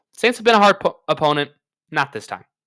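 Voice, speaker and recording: A man talks at a fairly quick pace in a bright, sharp tone with vocal fry. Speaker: sports podcaster. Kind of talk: casual chat. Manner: upbeat, animated; loud.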